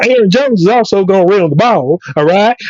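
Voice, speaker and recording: A man talks at a high pitch with a Southern US accent. He keeps a moderate pace, recorded dry and close with no echo. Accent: Southern country. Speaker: sports podcast co-host. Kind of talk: casual sports chat. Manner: animated.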